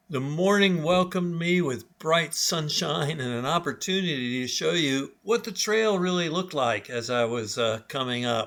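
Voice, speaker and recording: With an ordinary speaking voice, a man at fairly high pitch talks at a moderate pace with lively intonation and hardly any pauses. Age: 60s. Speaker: outdoor travel vlogger. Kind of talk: live video on the trail; narrated travel vlog. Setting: outdoors on a mountain. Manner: casual with fillers.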